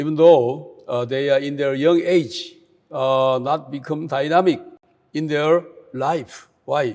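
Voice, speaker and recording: Speaking very slowly in a Korean accent, a man has a fairly high pitch and a dark, mellow tone. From South Korea. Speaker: speaker at a youth camp. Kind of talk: talk to an online youth audience. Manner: hesitant, many filler sounds.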